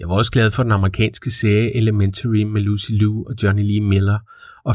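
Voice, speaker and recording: In a very clean recording with a silent background, a man with a fairly low pitch speaks in a plain, everyday voice. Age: 40s. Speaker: podcast host. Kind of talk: scripted narration.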